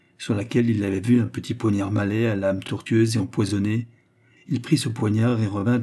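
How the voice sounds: Delivered with fairly even intonation, this is a natural reading voice.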